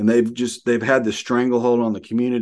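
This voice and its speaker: A man speaks at a very fast pace with a medium pitch. The background is quiet. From Arkansas, US South. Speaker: pastor. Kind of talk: casual interview.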